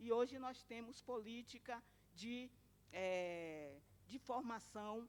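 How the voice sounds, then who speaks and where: With a normal speaking voice, a woman talks at a fairly high pitch and ordinary pitch variation. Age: 60s. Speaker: domestic workers' union activist. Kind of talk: conference talk.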